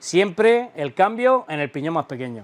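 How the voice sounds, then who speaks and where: Lively intonation from a man. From Spain. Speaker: YouTuber doing e-bike tutorials. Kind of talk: tutorial. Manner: animated. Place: workshop. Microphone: lapel.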